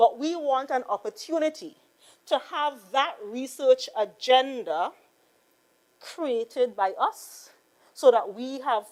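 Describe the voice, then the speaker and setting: A woman's high-pitched voice with a Trinidadian accent, very slow pace and lively intonation. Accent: Trinidad and Tobago English. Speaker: politician. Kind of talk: parliamentary debate. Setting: legislative chamber. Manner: slow, deliberate; formal.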